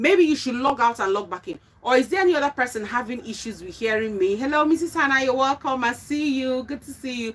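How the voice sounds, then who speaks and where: With lively intonation, this woman moves through her words fairly quickly. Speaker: relationship talk show host. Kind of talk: live stream chat. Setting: live stream.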